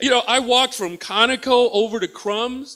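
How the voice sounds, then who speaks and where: Raising and projecting his voice, a man with an American accent talks in an animated tone at a moderate pace. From Texas. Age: 50s. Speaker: comedian. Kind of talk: stand-up. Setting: stage with audience.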